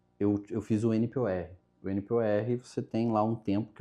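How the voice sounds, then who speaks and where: A man's medium-pitched voice, dark and mellow in tone, against a quiet background. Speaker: journalist and marketing professional. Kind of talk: casual interview.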